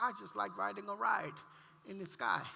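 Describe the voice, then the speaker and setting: Audible room echo and noticeable background noise are both present in the recording. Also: man. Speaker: pastor. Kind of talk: testimony. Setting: church.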